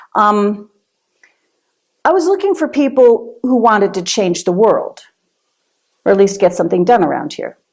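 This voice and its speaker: At a moderate pace, a woman with a fairly high pitch makes very wide pitch swings. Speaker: minister giving a sermon. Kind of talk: sermon to a congregation.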